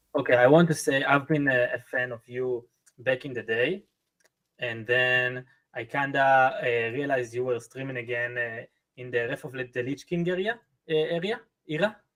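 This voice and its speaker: A man with a medium pitch and a non-native accent talks with big swings in loudness. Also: ordinary pitch variation, moderate pace. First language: not English. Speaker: viewer guest. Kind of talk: casual chat. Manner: halting.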